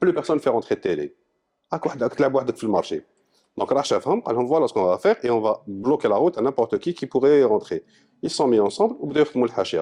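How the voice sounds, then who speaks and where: A man talks at a very fast pace. The sound is dry and close with no echo. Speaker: digital marketing consultant. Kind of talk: panel discussion. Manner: loud.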